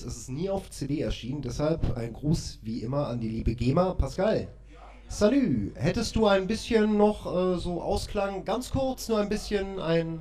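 A man speaks at a fairly slow pace with a dark, mellow tone and lively intonation. His somewhat breathy voice carries audible room echo. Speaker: podcast host. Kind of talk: casual interview. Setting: live recording with mobile recorder. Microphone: mobile recorder, poor quality.

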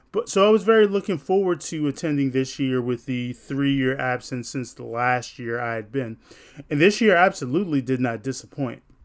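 At a moderate pace and medium pitch, a man talks with an animated tone and lively intonation on a very clean recording with a silent background. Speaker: podcast host. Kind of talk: radio DJ patter: upbeat, chatty podcast host recap. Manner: animated, friendly, casual with slangy energy; fluent but with filler words and self-corrections.

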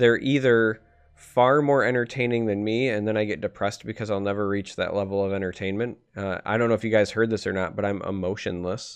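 A man's normal speaking voice, fairly low in pitch, with fairly even intonation and hardly any pauses. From Michigan, US. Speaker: podcast host and game caster. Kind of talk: casual chat. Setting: live stream with chat.

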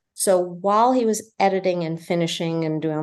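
A woman talks in an American accent with an unremarkable speaking voice, her pitch fairly low. She moves at a moderate pace with fairly even intonation. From New Jersey. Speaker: film director and producer. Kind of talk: casual interview.

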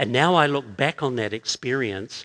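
A man talks with a New Zealand accent at a moderate pace. The background is quiet. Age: 60s. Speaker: pastor. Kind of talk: sermon. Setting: church with congregation.

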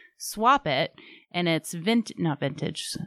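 Animated in tone, a woman speaks with ordinary pitch variation in a dry, close sound with no echo, on a very clean recording with a silent background. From Massachusetts, US. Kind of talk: casual chat interview. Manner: animated, talkative.

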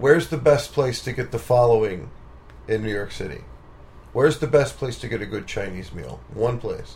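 Pitched at a medium level with ordinary variation, a man speaks at a moderate pace, showing vocal fry and big swings in loudness. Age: 40s. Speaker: musician and podcast host. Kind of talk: casual interview. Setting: home studio.

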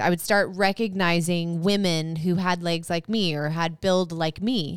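A woman speaks with a fairly low pitch at a moderate pace. She has a normal speaking voice. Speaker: podcast co-host and author. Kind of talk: casual chat. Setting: live stream recording.

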